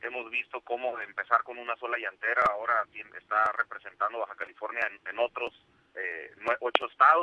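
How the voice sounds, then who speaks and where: The man moves along at a fairly quick pace. His loudness swings widely. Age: 30s. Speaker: business association coordinator. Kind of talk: radio interview. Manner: halting.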